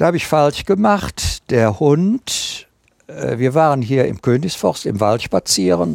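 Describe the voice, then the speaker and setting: A man at medium pitch, very slow, with very wide pitch swings and a dry, close sound with no echo. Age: 70s. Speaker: tracking dog handler and author. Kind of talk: interview.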